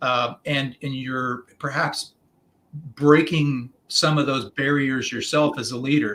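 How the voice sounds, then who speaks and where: The man's voice is fairly high in pitch, and his intonation stays fairly even. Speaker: executive coach. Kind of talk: podcast interview. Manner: fast; halting, many fillers and repetitions.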